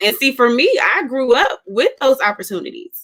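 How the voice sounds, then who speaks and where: A woman with an American accent speaks at a moderate pace in a raised, projected voice, high-pitched with a bright, sharp tone. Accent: Southern US, occasional. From US South. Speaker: co-host. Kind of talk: casual chat.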